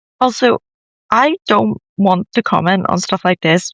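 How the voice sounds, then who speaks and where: This man has a high voice and a Northern Irish accent. The sound is dry and close with no echo, over a quiet background. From Northern Ireland. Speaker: commentary vlogger. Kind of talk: opinion rant video. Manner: animated.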